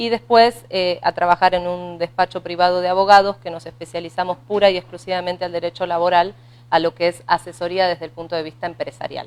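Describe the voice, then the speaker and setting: A woman with an Argentine accent at a fairly low pitch, fairly quick pace, fairly even intonation and big swings in loudness. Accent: Argentine, noticeable. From Argentina. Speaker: labor lawyer. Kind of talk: radio interview.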